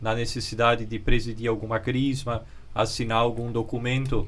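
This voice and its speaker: Audible room echo around a man's medium pitch at a moderate pace. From Brazil, Santa Catarina (Luiz Alves). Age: 30s. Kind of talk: interview.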